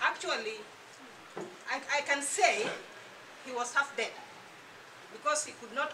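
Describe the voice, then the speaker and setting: Audible room echo surrounds a woman speaking at a fairly slow pace. Her high voice shows ordinary pitch variation. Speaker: health product distributor giving a testimony. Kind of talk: testimony.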